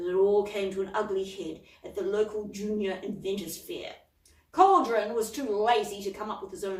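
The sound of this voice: The reading voice here is unforced.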